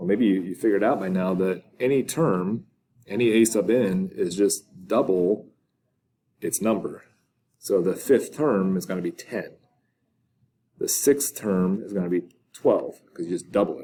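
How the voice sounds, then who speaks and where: Speaking at a fairly slow pace with long, frequent pauses, a man uses a fairly low pitch and a dark, mellow tone. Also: ordinary pitch variation. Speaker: math teacher. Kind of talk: lecture. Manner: casual.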